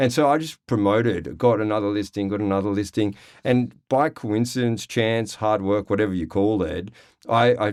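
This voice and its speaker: In an Australian accent, a man speaks at a moderate pace with a fairly low pitch and ordinary pitch variation. The recording is very clean, with a silent background. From Australia, Sydney (Cronulla). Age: 40s. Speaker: real estate agent. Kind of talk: interview. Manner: casual.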